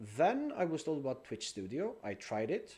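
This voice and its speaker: With a non-native accent, a man speaks at a fairly slow pace in a fairly high pitch, using very wide pitch swings. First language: not English. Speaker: game streamer. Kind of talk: live gameplay stream chat. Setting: live stream with chat.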